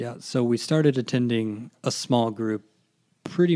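A man with an American accent speaks in a normal speaking voice. His pace is fairly slow. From Indiana, US Midwest. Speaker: church member, web systems administrator. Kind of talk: testimony.

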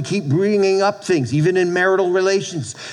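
Through noticeable background noise, a man speaks with a high pitch in an American accent. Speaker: pastor. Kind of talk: sermon. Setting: church with congregation. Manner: animated, preacherly call-and-response; conversational, loosely paced with repeats.

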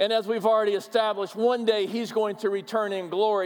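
Over noticeable background noise, a man with an American accent talks at a high pitch. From US upper Midwest, Minnesota. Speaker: pastor. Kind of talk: sermon. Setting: church.

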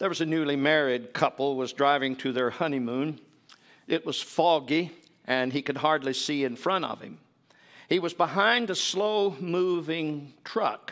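A man talks at a fairly slow pace in a very clean recording with a silent background. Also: ordinary pitch variation. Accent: Appalachian. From US South, East Tennessee. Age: 70s. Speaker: visiting preacher. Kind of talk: sermon. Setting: church.

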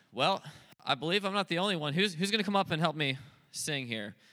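On a very clean recording with a silent background, the voice has a bright, sharp tone, a very fast pace and ordinary pitch variation. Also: man. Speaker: rehab ministry staff and worship leader. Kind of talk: emcee introductions and worship leading. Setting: church stage with congregation.

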